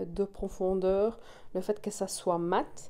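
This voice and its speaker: Speaking very slowly in a flat monotone, a woman with a medium-pitched voice and a dark, mellow tone has a Belgian accent. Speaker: nail technician, tutorial creator. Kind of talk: tutorial. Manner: casual, with frequent filler 'euh'.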